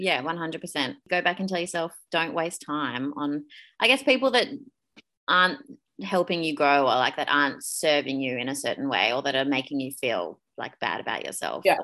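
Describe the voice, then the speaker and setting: A woman speaks with an Australian accent in a very deep, low pitch. Her tone is bright and sharp, and her intonation is lively. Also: moderate pace. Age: 30s. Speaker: podcast co-host, personal trainer. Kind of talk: casual chat.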